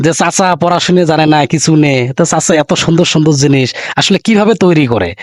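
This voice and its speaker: A man's plain, everyday voice, fairly high in pitch, with ordinary pitch variation and very even loudness. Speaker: local YouTube reporter. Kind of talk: street interview and video presentation.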